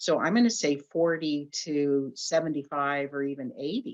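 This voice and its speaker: This woman speaks at a very slow pace in a very deep, low pitch, with lively intonation and an American accent. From US West Coast (Long Beach, California). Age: 70s. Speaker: author. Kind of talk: interview.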